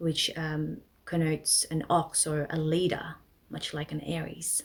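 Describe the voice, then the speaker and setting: The speaker uses a Filipino accent and talks at a fairly slow pace. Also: woman. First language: Tagalog. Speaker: astrology presenter. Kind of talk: educational presentation. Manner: casual with frequent fillers.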